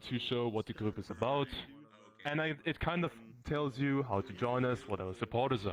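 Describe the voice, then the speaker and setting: A man with a strong German accent, talking at a fairly quick pace. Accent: German accent, self-described as strong. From Germany, Bavaria. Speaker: tour guide in a VR community. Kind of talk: guided tour. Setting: virtual reality world with a group.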